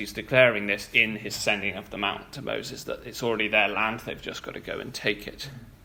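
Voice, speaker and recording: A man is speaking. Room echo is audible. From England, moved to Wales. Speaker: church speaker. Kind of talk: sermon. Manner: halting, with fillers.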